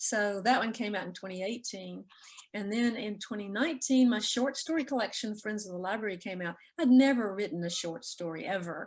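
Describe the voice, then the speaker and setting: With a Southern US accent, a woman talks at a fairly quick pace in a fairly high voice with ordinary pitch variation. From Mississippi (Jackson). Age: 70s. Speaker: author. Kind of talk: interview.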